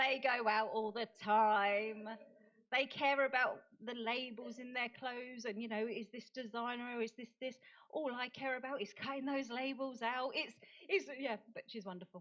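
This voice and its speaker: Speaking at a moderate pace, a woman with a British accent has a high pitch and fairly even intonation. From United Kingdom. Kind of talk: conference talk. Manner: halting.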